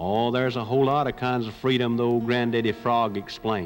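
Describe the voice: Simple read-aloud delivery.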